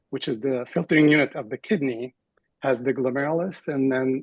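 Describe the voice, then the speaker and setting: An unremarkable speaking voice from a man, medium in pitch, at a fairly quick pace with fairly even intonation and a dry, close sound with no echo. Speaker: kidney doctor. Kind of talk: interview.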